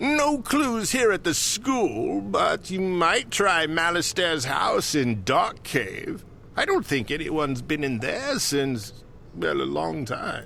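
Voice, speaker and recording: Using a put-on character voice, a man speaks at a fairly slow pace. Clear background noise is audible. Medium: video game.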